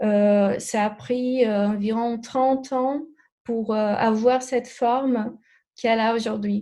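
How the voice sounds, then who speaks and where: With a Brazilian accent, the speaker's dark, mellow tone moves at a very slow pace in monotone, flat intonation. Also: woman, fairly high pitch for a woman. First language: Portuguese (speaking French). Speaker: alternative therapist. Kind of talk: interview. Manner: halting, many hesitations.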